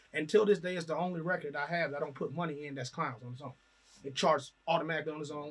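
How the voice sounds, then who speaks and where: Talking very fast, a man uses a fairly high, somewhat breathy voice with fairly even intonation and big swings in loudness. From Trinidad and Tobago. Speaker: rapper. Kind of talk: casual interview.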